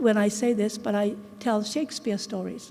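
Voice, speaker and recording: There is noticeable noise in the background. A woman talks at a moderate pace. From Japan. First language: Japanese. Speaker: English teacher and researcher. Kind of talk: conference talk. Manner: halting.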